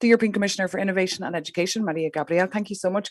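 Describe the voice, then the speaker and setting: A woman speaks with an Irish accent and fairly even intonation. The background is quiet. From Ireland. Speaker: journalist, event moderator. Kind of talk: panel moderation.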